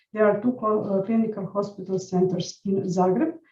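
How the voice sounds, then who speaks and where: This woman has a dark, mellow tone and sounds somewhat breathy. Her pace is moderate and her intonation fairly even. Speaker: nursing educator. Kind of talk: conference presentation. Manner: halting.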